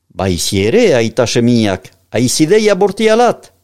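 A man's lively intonation in a very clean recording with a silent background. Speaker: podcast narrator. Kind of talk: reading aloud.

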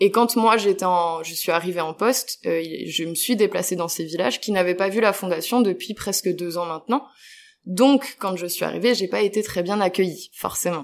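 In a very clean recording with a silent background, a woman speaks at a moderate pace with a medium pitch and ordinary pitch variation. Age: 20s. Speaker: international volunteer, project coordinator. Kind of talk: interview. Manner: hesitant, many fillers.

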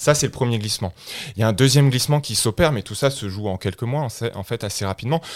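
Ordinary pitch variation carries this speech, delivered at a very fast pace. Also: man, medium pitch for a man. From France. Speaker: political science professor. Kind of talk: interview. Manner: halting.

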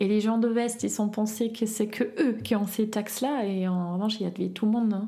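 Recorded with audible room echo, a woman with a German accent speaks at a fairly high pitch and fairly quick pace, in monotone, flat intonation and very even loudness. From East Berlin, Germany. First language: German (speaking French). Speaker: eyewitness. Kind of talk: personal testimony. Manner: halting.

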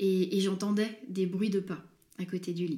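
A woman speaks at a medium pitch. Her tone is dark and mellow, and somewhat breathy. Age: 20s. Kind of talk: interview. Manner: hesitant.

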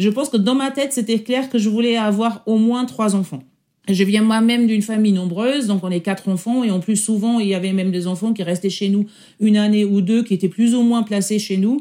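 A woman with a fairly high pitch and a dark, mellow tone speaks at a fairly quick pace with ordinary pitch variation and very even loudness. The recording is very clean, with a silent background. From Germany. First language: German (speaking French). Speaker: senior public sector executive. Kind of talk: interview testimony. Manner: halting.

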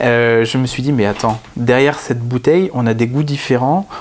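A man speaks at a medium pitch and a moderate pace. His intonation is fairly even, and there is noticeable background noise. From northern France (Picardy). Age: 30s. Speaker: wine author and explorer. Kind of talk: interview. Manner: hesitant, with many fillers.

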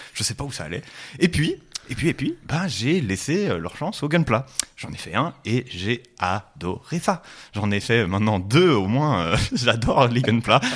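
The voice is loud and animated, with very wide pitch swings. It moves at a fairly slow pace. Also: man, medium pitch for a man. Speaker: podcast co-host. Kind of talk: casual chat.

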